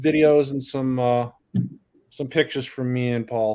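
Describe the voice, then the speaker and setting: With a slight Northeastern US accent, a man talks in a dark, mellow tone with ordinary pitch variation. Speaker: drone hobbyist livestream panelist. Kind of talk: casual chat.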